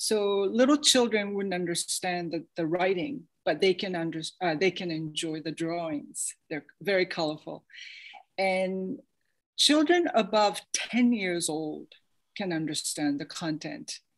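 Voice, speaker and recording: A woman with a New York accent speaks at a medium pitch and a fairly slow pace, her intonation lively. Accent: American English, New York. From grew up in New York City. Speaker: artist and author. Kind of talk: interview on video call. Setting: video call.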